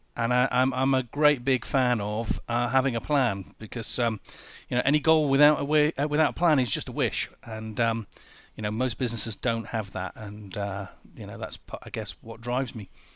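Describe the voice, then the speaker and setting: Over a quiet background, a man with a Yorkshire accent talks at a moderate pace. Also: medium pitch for a man, ordinary pitch variation. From northern England, Sheffield. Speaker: business coach. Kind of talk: interview.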